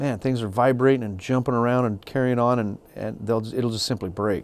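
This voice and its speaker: Speaking at a fairly quick pace, a man uses a normal speaking voice at medium pitch with fairly even intonation. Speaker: gunsmith instructor. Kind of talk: tutorial. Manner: casual.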